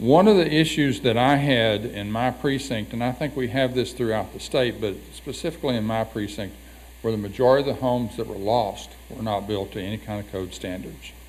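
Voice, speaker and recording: A man talks at a moderate pace and medium pitch with vocal fry. His pitch varies in an ordinary way. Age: 70s. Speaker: county commissioner. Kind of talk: public hearing comment. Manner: halting.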